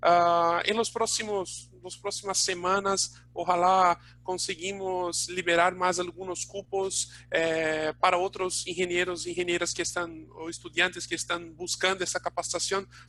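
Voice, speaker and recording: A man with a non-native accent speaks fairly slowly at a high pitch, in a monotone, flat way. His tone is bright and sharp, and he hardly pauses. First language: Portuguese (speaking Spanish). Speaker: webinar host, training institute staff. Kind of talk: live webinar closing remarks. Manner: halting, many fillers.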